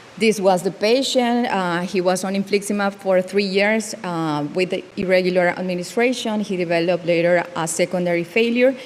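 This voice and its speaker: Moderate pace and fairly even intonation, with noticeable background noise. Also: woman, medium pitch for a woman. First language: not English. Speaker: dermatologist. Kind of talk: conference case presentation. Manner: halting.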